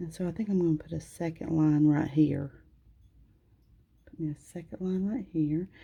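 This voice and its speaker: A woman mumbles at a moderate pace with long, frequent pauses and fairly even intonation. Her fairly low pitch carries a dark, mellow, somewhat breathy tone. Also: big swings in loudness. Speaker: nail technician. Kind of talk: tutorial. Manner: tends to mumble; casual, conversational.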